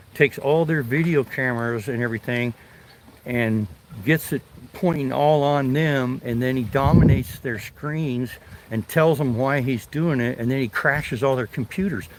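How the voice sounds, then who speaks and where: Moderate pace and ordinary pitch variation against noticeable background noise. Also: man, medium pitch for a man. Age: 60s. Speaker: retired fishing livestreamer, navy veteran. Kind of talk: casual live stream chat while fishing.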